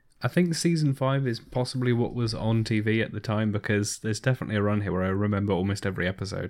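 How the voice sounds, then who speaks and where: A man with a fairly low pitch and ordinary pitch variation talks at a very fast pace. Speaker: podcast co-host. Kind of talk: casual chat.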